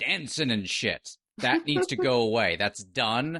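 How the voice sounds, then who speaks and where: Against a quiet background, a man speaks at a fairly slow pace in a bright, sharp tone with vocal fry, the sound dry and close with no echo. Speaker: podcast co-host. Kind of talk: casual podcast talk.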